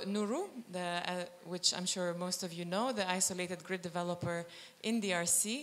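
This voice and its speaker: In a room with audible echo, a woman speaks at medium pitch. Her pace is fairly slow and her intonation fairly even. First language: not French (speaking French). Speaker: climate fund policy lead. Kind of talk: panel presentation. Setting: stage with audience. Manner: halting.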